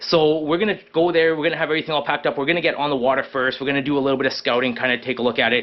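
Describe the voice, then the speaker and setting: Over noticeable background noise, a man with a Canadian accent talks at a very fast pace, his fairly high pitch showing ordinary pitch variation. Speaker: fishing and camping vlogger. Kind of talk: casual vlog talk to camera. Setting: hot garage. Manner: rambling with many fillers.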